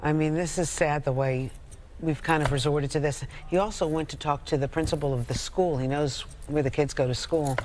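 A low-pitched woman speaks at a fairly quick pace with fairly even intonation and a slightly mellow tone.

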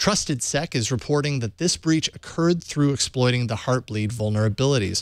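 At a moderate pace and with ordinary pitch variation, the speaker is heard in a dry sound with no echo and a quiet background. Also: man. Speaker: news show host. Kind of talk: news reading. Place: studio. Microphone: studio mic.

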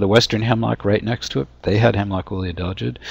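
A man with an American accent uses a normal speaking voice at a fairly low pitch. His pitch varies in an ordinary way, and the sound is dry with no echo. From US Pacific Northwest (Washington State). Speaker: forest entomologist; presenter. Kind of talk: webinar lecture. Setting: webinar. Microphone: video call.

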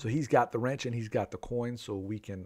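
A quiet background behind a man's voice. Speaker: game streamer. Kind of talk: live stream game commentary.

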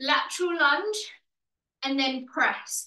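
In a room with audible echo, a woman uses a raised, projected voice at a very slow pace. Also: quiet background. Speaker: fitness instructor. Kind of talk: workout instruction and counting. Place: home room. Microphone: video call.

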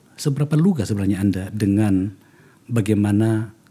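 A man speaks in a fairly low, dark, mellow tone that is somewhat breathy. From Indonesia. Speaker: political podcast host, former politician. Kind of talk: podcast interview. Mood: calm, probing. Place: studio. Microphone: studio mic.

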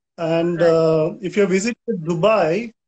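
A man with a Goan accent, at a very slow pace with fairly even intonation. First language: Konkani. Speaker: poet. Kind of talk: poem performed in Konkani. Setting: video call, live stream. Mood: calm, friendly. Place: home room. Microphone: video call.

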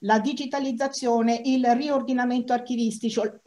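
A woman's fairly high-pitched voice with monotone, flat intonation. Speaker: archive institution official, moderator. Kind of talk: formal conference moderation. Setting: online live-streamed event. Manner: halting. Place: office. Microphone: earbuds.

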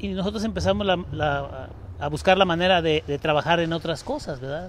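This man's voice has vocal fry. The sound is dry with no echo, and there is light background noise. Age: 60s. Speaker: circus owner. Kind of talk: live interview. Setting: inside a circus tent. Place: tent. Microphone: handheld.

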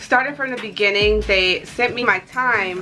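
Over clear music in the background, a woman speaks at a fairly quick pace. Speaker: lifestyle vlogger. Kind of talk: casual vlog chat. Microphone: camera far.

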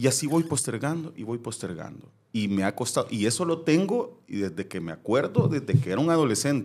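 A man's medium-pitched voice with a Salvadoran accent, fairly quick with hardly any pauses and very wide pitch swings, on a very clean recording with a silent background. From El Salvador. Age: 40s. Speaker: former TV presenter. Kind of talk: casual interview chat.

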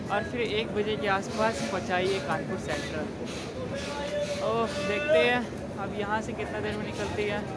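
A man talks at a fairly slow pace, pausing long and often. Loud background noise fills the recording. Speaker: travel vlogger. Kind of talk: casual vlog chat. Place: station. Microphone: lapel.

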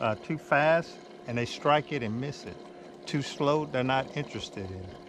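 A man's voice, dry and without echo, over noticeable background noise. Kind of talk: tutorial. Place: boat. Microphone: camera far.

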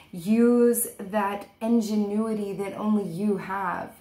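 Fairly even intonation is heard alongside audible room echo. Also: woman. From Portuguese heritage. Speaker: tarot reader. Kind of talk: tarot reading monologue. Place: home room. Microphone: webcam.

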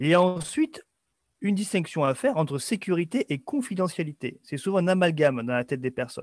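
Against a quiet background, a man speaks at a high pitch with very wide pitch swings and a fairly quick pace. The sound is dry with no echo. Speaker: webinar host. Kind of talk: webinar presentation. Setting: video call. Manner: hesitant, filler words. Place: home room. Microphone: webcam.

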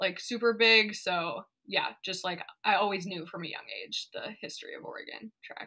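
Speaking at a moderate pace against a quiet background, a woman's voice swings widely in loudness. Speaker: remote podcast guest. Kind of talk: interview answer. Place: home room.

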